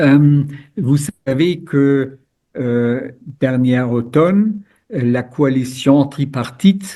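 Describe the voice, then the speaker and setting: Speaking at a very slow pace with a German accent, a man uses a medium pitch, a dark, mellow tone and lively intonation. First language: German (speaking French). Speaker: former European politician, lawyer, and lecturer. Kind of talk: webinar expert talk. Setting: video call webinar.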